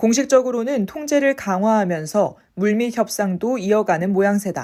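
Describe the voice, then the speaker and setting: A woman talks in an unremarkable speaking voice at a fairly high pitch. Her pace is moderate and her pitch variation ordinary. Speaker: voice and speech coach. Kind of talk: news article reading.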